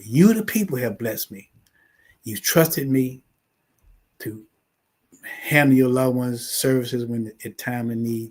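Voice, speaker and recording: A man with a medium-pitched voice speaks at a moderate pace, sounding somewhat breathy. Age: 70s. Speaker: funeral home owner. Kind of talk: talk show interview.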